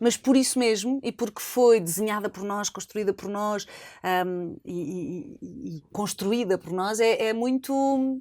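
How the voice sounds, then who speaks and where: A woman with an unremarkable speaking voice and fairly high pitch talks at a fairly slow pace with ordinary pitch variation, in a very clean recording with a silent background. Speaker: former radio host and journalist, now foundation head. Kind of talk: interview answer.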